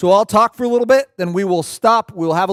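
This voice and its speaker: A man with an American accent at a very fast pace, animated in tone with ordinary pitch variation, dry and close with no echo on a very clean recording with a silent background. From Pacific Northwest US (Puyallup, Washington). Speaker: workshop presenter on family technology. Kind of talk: seminar talk to a live audience. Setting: church event with live audience.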